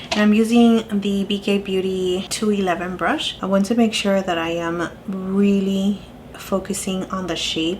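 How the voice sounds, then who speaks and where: A woman's medium-pitched voice at a fairly slow pace, with noticeable background noise. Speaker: beauty YouTuber. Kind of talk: makeup tutorial talk to camera.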